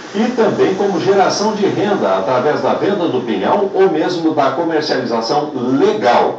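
A man talking with hardly any pauses, over light background noise and audible room echo. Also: moderate pace. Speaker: TV report narrator. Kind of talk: television reportage narration. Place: studio.

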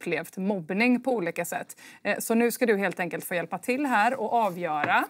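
The delivery is a natural reading voice.

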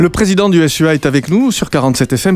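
In a normal speaking voice, a man talks at a moderate pace with ordinary pitch variation, the sound dry with no echo. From France. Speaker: radio presenter. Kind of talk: radio interview. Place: studio. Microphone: studio mic.

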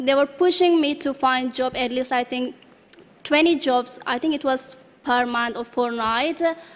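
Talking at a moderate pace, a woman with a non-native accent uses a high pitch and fairly even intonation. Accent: foreign accent in English. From Afghanistan. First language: not English (English is her third language). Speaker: refugee speaker. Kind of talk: testimony. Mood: calm, earnest, slight smiles. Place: hall. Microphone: podium.

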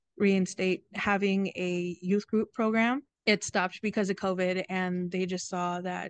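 A woman speaks at a fairly slow pace in a dry sound with no echo. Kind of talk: interview answer. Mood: warm, friendly. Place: garden. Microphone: video call.

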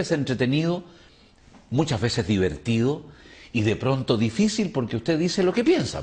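This man's fairly high, somewhat breathy voice moves through very wide pitch swings. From Chile. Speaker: TV interviewer. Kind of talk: TV interview. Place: studio. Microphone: lapel.

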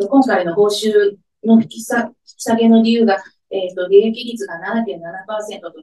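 At a fairly slow pace, the voice comes through with audible room echo over a quiet background. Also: woman. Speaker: head of care division at a welfare organization. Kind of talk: press conference statement. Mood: earnest, measured protest tone. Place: meeting room.

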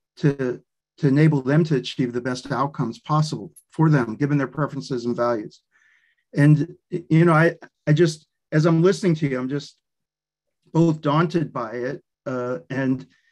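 A man talks at a moderate pace with ordinary pitch variation, leaving long, frequent pauses. The background is quiet. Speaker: speaker. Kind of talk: discussion comment in an online lecture. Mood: thoughtful, appreciative. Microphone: video call.

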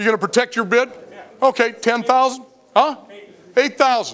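A man's extremely high voice at a moderate pace. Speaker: auctioneer. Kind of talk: live auction calling. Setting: warehouse auction floor with bidders. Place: factory. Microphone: headset.

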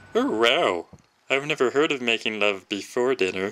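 A cartoonish character voice sits at a low-to-middle pitch. It moves at a moderate pace. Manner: innocent, polite.

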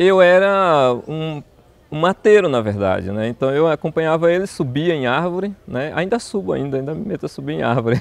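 The intonation is lively and the pace moderate. The sound is dry with no echo. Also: man, fairly high pitch for a man. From southern Bahia, Brazil (Una); Bahia, Brazil. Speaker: botany professor. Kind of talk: personal testimony interview. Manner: halting, with repetitions. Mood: warm, reflective. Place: garden. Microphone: lapel.

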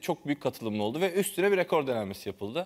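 Over a quiet background, a man talks at a very fast pace. His intonation is lively. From Turkey. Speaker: TV show host. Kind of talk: casual chat. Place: studio. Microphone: lapel.

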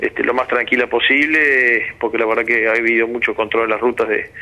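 A man's flat, monotone delivery at a moderate pace. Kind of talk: interview answer.

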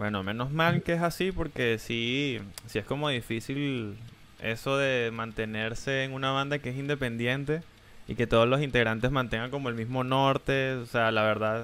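A man at a moderate pace, medium in pitch, with ordinary pitch variation and an ordinary speaking voice. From Venezuela. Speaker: streamer and interviewer. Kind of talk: casual interview chat. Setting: live stream video call. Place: home room. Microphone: headset.

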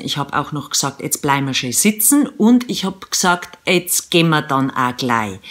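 In a Bavarian accent, a woman speaks at a moderate pace. Her very deep, low pitch moves in very wide swings. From Eastern Bavaria. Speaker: radio presenter and mom vlogger. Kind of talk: humorous vlog monologue to camera. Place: home room. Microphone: phone near.

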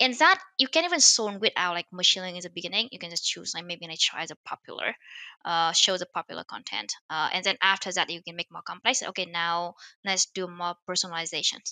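A woman with a Vietnamese accent, fairly low in pitch, bright and sharp in tone, at a fairly quick pace, with big swings in loudness, in a dry sound with no echo against a quiet background. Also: ordinary pitch variation. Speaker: machine learning author and startup founder; podcast guest. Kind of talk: interview. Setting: remote call. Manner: hesitant, many fillers. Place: home room. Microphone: headset.

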